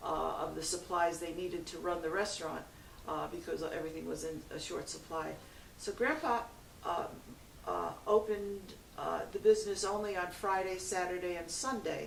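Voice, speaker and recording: Her voice carries an American accent. Noticeable background noise and audible room echo accompany this woman. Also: moderate pace. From New York City, Brooklyn. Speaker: interviewee. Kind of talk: interview testimony. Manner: halting.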